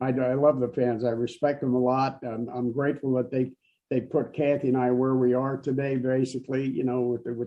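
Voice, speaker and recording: A man speaks at a fairly quick pace in a medium pitch, his intonation flat and monotone. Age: 80s+. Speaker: actor and stuntman. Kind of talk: interview. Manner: halting, repeats words.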